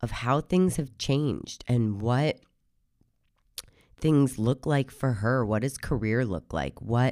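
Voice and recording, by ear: On a very clean recording with a silent background, a woman speaks in a hoarse, slightly mellow voice at an extremely low pitch with ordinary pitch variation.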